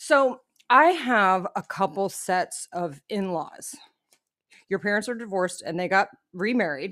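Against a silent background in a very clean recording, a woman speaks fairly slowly at a medium pitch. She has an unremarkable speaking voice with lively intonation. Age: 40s. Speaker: podcast co-host. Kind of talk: casual chat. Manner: laughs often.

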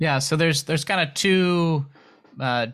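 Over a silent background in a very clean recording, a man speaks in a normal speaking voice at a moderate pace with ordinary pitch variation. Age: 30s. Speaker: book translator and editor. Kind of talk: casual interview. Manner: uses frequent filler words.

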